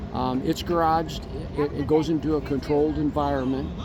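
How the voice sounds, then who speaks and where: Music plays in the background as a man with an American accent speaks at a moderate pace, with audible room echo. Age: 70s. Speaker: retired car owner at a car show. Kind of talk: casual chat.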